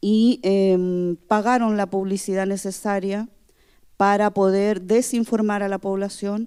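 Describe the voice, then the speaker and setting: A woman with a Chilean accent speaks at a very slow pace in a dark, mellow tone at a medium pitch, her intonation monotone and flat, on a very clean recording with a silent background. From Chile, Araucanía region. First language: Mapudungun (speaking Spanish). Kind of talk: conference talk. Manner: halting, many fillers.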